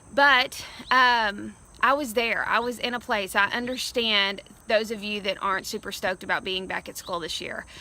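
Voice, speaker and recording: Loud speech at a moderate pace, with ordinary pitch variation, comes through in a very clean recording over a silent background. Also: woman. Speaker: education speaker, former teacher. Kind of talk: recorded video message to school staff. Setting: outdoors. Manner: animated.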